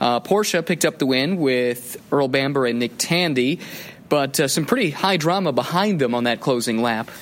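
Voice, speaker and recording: A man's unremarkable speaking voice sits at a fairly high pitch, with ordinary pitch variation and a moderate pace. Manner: fluent, building storyteller pace with rising drama toward the final-lap pass attempt.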